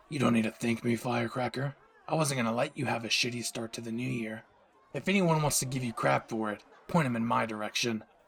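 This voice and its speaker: A man puts on a character voice that is raspy and medium in pitch. He rattles along at a very fast pace with ordinary pitch variation. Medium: audio drama. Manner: brash, cocky, teasing, swears freely.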